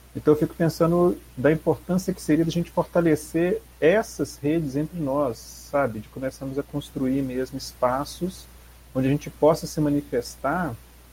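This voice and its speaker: The speaker is a man. He talks at a moderate pace. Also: big swings in loudness. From Brazil, Belo Horizonte. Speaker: public school teacher. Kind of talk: casual chat.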